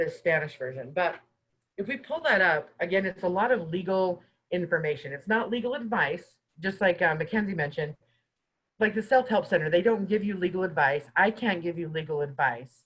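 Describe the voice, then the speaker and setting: This woman has a medium pitch and lively intonation. She talks at a fairly quick pace. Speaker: housing mediator at a guest organization. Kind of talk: webinar presentation. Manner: fast.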